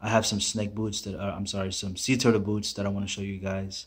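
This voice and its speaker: A man's somewhat breathy voice at a fairly low pitch. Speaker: boot collector vlogger. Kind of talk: casual vlog chat. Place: home room. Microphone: phone near.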